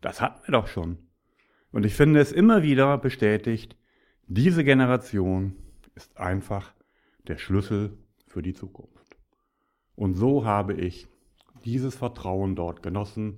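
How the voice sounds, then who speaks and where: On a very clean recording with a silent background, a man speaks fairly slowly at a fairly low pitch, with long, frequent pauses. His intonation is lively, and his loudness swings widely. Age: 50s. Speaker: podcaster, business speaker. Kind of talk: solo monologue podcast. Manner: animated.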